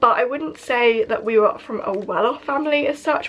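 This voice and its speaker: Over noticeable background noise, a woman with a British accent talks at a fairly quick pace, high in pitch with lively intonation. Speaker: YouTuber. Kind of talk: casual vlog chat.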